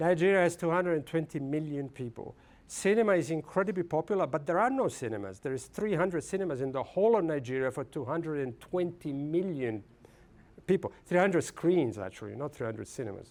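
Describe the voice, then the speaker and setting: A man speaks very fast with an Italian accent, his pitch fairly high and his intonation lively. The recording is very clean, with a silent background. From Italy. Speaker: film studies professor. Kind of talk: lecture. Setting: lecture hall with audience. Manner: halting.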